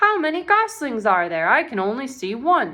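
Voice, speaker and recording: This is a put-on character voice. Its pitch swings are very wide. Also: woman. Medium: read story. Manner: eager, naive.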